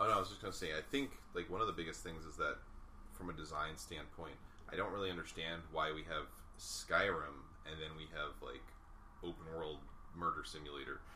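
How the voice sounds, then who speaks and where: A man at a fairly quick pace yet with long, frequent pauses, amid audible room echo. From New York. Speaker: game developer. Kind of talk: casual chat.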